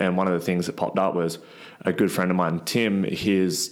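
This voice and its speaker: This man's voice is very deep and low, with an Australian accent. His intonation is monotone and flat. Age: 20s. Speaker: gym owner and strongman athlete. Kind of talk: casual interview chat.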